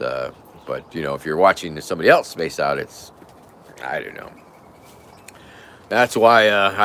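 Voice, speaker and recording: A raspy, put-on character voice from a man, fairly low in pitch, at a moderate pace with long, frequent pauses and big swings in loudness. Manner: soft, calming ASMR voice.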